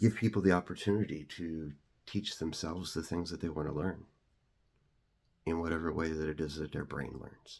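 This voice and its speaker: Over a silent background in a very clean recording, a man with a very deep, low pitch talks at a fairly quick pace with fairly even intonation and long, frequent pauses. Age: 40s. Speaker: content creator. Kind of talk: personal story monologue. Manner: fast; halting, many fillers.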